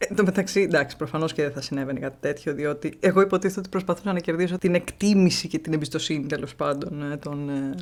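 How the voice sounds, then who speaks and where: A woman with a very deep, low voice talks at a fairly quick pace with ordinary pitch variation. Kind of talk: casual talk to camera.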